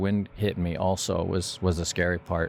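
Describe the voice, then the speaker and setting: A man speaks in a monotone with flat intonation. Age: 70s. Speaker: sailor and adventurer. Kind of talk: interview storytelling.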